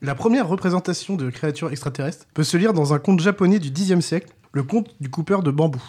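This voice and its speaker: A man's dark, mellow tone moves along at a fairly quick pace. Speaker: podcast co-host. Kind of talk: scripted narration. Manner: crooner voice for intro.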